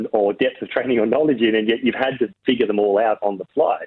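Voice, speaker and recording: Speaking at a fairly quick pace with fairly even intonation, a man at a medium pitch talks in an Australian accent. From Australia, Riverina NSW. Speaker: film director. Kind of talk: interview.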